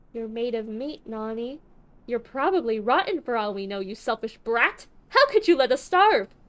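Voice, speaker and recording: A woman uses a put-on character voice that is shrill and fairly high. She speaks at a moderate pace. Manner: shrieking, enraged.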